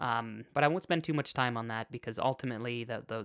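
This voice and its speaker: A man talks at a moderate pace in a medium-pitched voice with a bright, sharp tone and fairly even intonation. The recording is very clean and silent in the background, with a dry, close sound and no echo. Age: 20s. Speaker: spiritual podcast host. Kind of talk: personal storytelling monologue. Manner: halting, many fillers and restarts.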